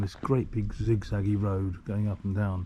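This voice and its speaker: A man's fairly low, dark, mellow and somewhat breathy voice with an English accent, at a moderate pace. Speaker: travel vlogger. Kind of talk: casual vlog narration.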